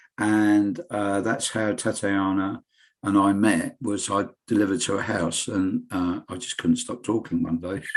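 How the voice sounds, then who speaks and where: A man's fairly low voice with an English accent, fairly even intonation and a fairly slow pace, against a quiet background. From England. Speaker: local radio presenter. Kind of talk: interview.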